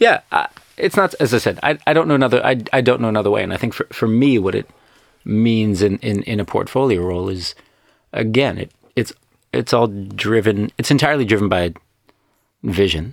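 A man with a North American accent talks fairly quickly at medium pitch, with ordinary pitch variation. He takes long, frequent pauses, and the sound is dry and close with no echo. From New York, US. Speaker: venture company co-founder. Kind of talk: casual group interview. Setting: studio, remote link from London.

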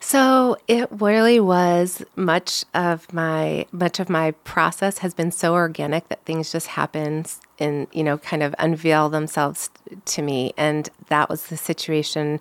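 At a fairly slow pace, a woman with an American accent uses a normal speaking voice, fairly low in pitch with ordinary pitch variation, the sound dry and close with no echo. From US Midwest, St. Louis, Missouri. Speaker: physical therapist and clinic owner. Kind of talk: casual interview. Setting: studio.

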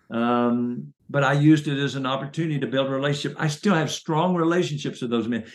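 Talking at a very fast pace, a man with a Southern US accent uses a fairly high pitch and ordinary pitch variation. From US South, Chattanooga, Tennessee. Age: 60s. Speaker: minister and business consultant. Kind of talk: interview about faith and career.

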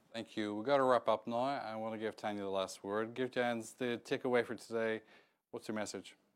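In a very clean recording with a silent background, a man talks at a fairly quick pace with a medium pitch and monotone, flat intonation. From Northern Ireland. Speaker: event moderator. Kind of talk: moderated panel discussion. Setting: studio with audience.

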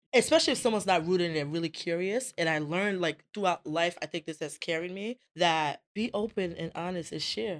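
In a Rhode Island accent, a woman speaks fairly quickly with hardly any pauses, an animated tone, fairly low pitch and ordinary pitch variation, captured dry and close with no echo on a very clean recording with a silent background. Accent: Rhode Island American. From Providence, Rhode Island, US. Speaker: motivational speaker and entrepreneur. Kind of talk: casual interview.

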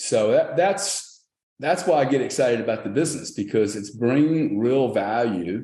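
The voice has a dark, mellow tone and lively intonation at a moderate pace. Audible room echo surrounds it. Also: man, medium pitch for a man. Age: 60s. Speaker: company founder and CEO. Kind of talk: interview.

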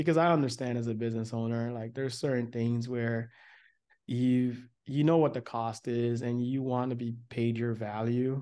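A man with a General American accent speaks at a moderate pace in a medium pitch, his tone dark and mellow. His intonation is monotone and flat, over a quiet background. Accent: general American, little. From United States. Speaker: podcast host. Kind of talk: casual podcast conversation.

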